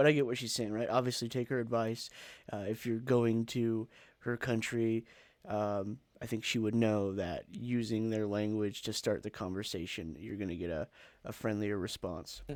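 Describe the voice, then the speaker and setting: On a very clean recording with a silent background, a man with an American accent has an ordinary speaking voice, a medium pitch, fairly even intonation and a moderate pace. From USA. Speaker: reaction video host. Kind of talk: casual reaction commentary.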